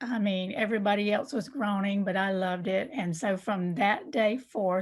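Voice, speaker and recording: A woman with a Southern US accent speaks at a moderate pace. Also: very clean recording, silent background. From US South, southwest Georgia. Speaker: novelist. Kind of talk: interview.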